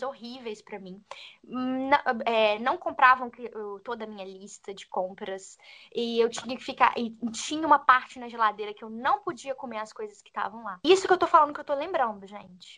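A woman's high-pitched, bright, sharp voice at a moderate pace, with big swings in loudness. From Brazil, Minas Gerais. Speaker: podcast co-host, former au pair. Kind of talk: casual chat.

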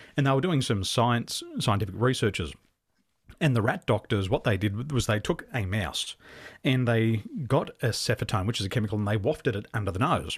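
The speech is fairly quick and somewhat breathy, with lively intonation. The recording is very clean, with a silent background. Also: man, medium pitch for a man. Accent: Australian. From Australia. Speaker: business coach. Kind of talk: interview.

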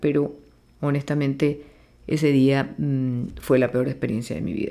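The voice has a dark, mellow tone and fairly even intonation. It moves at a fairly slow pace. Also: woman. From Venezuela, Maracaibo (Zulia). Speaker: plastic surgeon, podcast host. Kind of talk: podcast monologue.

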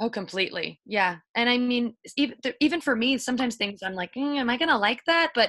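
A woman with an American accent, bright and sharp in tone, at a fairly quick pace against a quiet background. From Miami, Florida. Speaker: writer and radio worker. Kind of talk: casual interview chat.

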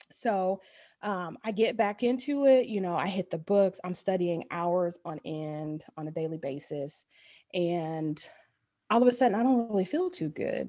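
Speaking fairly slowly in a dark, mellow tone, a woman with a medium pitch uses lively intonation. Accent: Midwestern US. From Dayton, Ohio. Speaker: family doctor. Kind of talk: casual interview.

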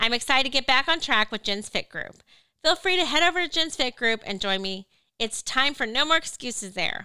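A woman projects a raised, high-pitched voice with a bright, sharp tone and very wide pitch swings, in a very clean recording with a silent background. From Missouri, Lake of the Ozarks. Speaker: podcast co-host, media company founder. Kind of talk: scripted self-introduction.

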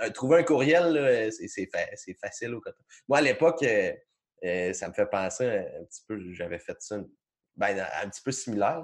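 In a Quebec accent, a man speaks at a fairly slow pace with long, frequent pauses and big swings in loudness. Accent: Québécois French. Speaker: podcast host. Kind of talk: casual chat. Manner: halting, many repetitions.

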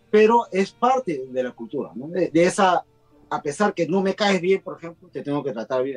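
A man's high-pitched voice with very wide pitch swings at a moderate pace, dry and close with no echo. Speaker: guest. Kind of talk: casual chat. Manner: talkative.

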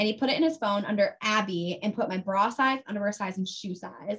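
Fairly high-pitched for a woman, her speech moves at a fairly quick pace with ordinary pitch variation in an unremarkable speaking voice. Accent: American. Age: 20s. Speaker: radio DJ. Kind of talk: casual chat.

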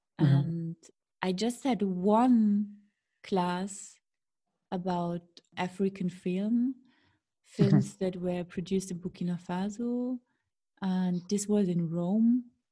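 With a dark, mellow, somewhat breathy voice, a woman speaks very slowly, leaving long, frequent pauses, with ordinary pitch variation. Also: medium pitch for a woman. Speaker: podcast host. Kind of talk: interview conversation.

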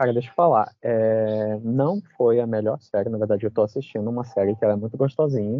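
This is a plain, everyday voice. It moves at a fairly quick pace with fairly even intonation. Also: man, medium pitch for a man, hardly any pauses. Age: 20s. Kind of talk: casual chat.

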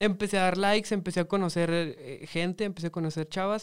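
On a very clean recording with a silent background, a man talks in a high pitch with fairly even intonation. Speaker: podcast host. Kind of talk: casual chat.

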